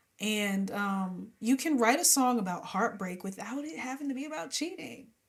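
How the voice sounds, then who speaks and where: Fairly high and animated, a woman speaks at a fairly slow pace with very wide pitch swings. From New Jersey. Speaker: gospel and R&B singer. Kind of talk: interview.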